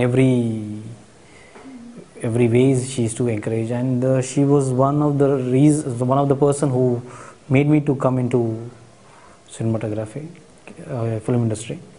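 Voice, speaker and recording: Amid noticeable background noise, a man with a Marathi accent speaks at a moderate pace and medium pitch. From India, Hyderabad. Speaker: cinematographer. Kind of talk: interview. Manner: halting, many fillers.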